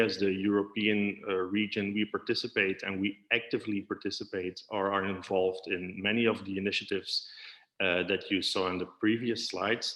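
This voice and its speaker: The speaker is a man. His pitch is fairly low. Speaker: physiotherapy association representative, panelist. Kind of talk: conference panel presentation. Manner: fast; hesitant, many fillers.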